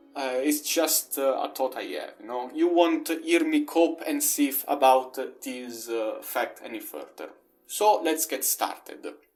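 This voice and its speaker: Someone speaks with a non-native accent while music plays in the background. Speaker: video game reviewer. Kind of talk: video essay narration.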